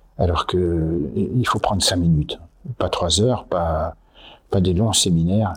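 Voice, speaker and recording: A man speaks at a very slow pace, somewhat breathy. His pitch is very deep and low, with ordinary pitch variation. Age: 80s+. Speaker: company founder. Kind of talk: interview. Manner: halting.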